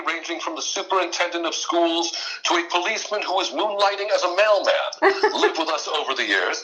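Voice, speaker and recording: Over music in the background, a man speaks at a very fast pace with ordinary pitch variation. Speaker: mentalist and voice actor, performer of one-man theater shows. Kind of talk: podcast interview answer, conversational storytelling.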